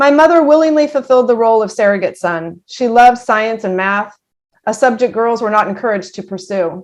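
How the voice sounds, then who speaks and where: A woman speaks with an American accent in a plain, everyday voice, pitched fairly high. The background is quiet. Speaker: army veteran. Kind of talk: personal story reading.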